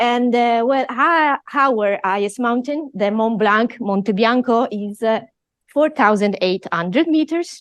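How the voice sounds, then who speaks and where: At a fairly slow pace, a woman speaks at a fairly high pitch with lively intonation. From Italy. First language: Italian. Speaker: professor. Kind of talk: lecture.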